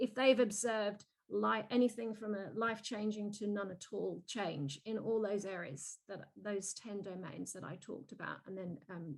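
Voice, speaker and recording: Barely pausing, a woman with a medium pitch and vocal fry speaks with ordinary pitch variation and big swings in loudness. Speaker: keynote speaker, youth mentoring program director. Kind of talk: webinar Q&A answer. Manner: fast; hesitant, many restarts.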